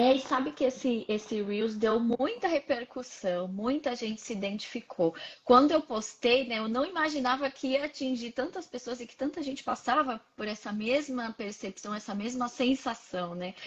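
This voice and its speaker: A woman speaks in a high pitch at a moderate pace with ordinary pitch variation. She hardly pauses at all. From Brazil, Santos (São Paulo). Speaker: psychologist. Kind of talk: casual interview. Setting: live stream video call.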